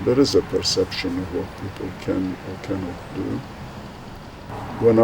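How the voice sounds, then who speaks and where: A man talks at a moderate speed while noticeable background noise runs underneath. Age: 80s+. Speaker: retired doctor. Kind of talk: interview.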